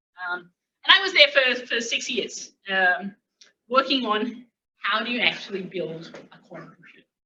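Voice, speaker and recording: Using an Australian accent, a woman speaks at a moderate pace with a fairly high pitch, very wide pitch swings and big swings in loudness. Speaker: physics academic. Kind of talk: lecture. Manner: halting, many fillers.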